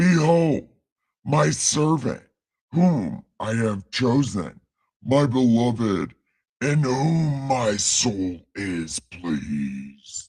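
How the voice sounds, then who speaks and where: In a put-on character voice, a man of medium pitch speaks at a very slow pace in a solemn tone with very wide pitch swings. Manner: booming, solemn, grand.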